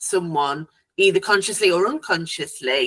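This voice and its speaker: A woman with a British accent, bright and sharp in tone, ordinary pitch variation, in a dry, close sound with no echo. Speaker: family court support platform founder. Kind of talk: interview questions to a guest. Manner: conversational, hesitant.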